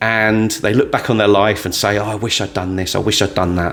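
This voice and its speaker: Speaking with a British accent, a man has a fairly low pitch. He talks at a fairly quick pace with fairly even intonation. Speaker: motivational storyteller, former trainer. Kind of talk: motivational talk to camera. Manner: loud.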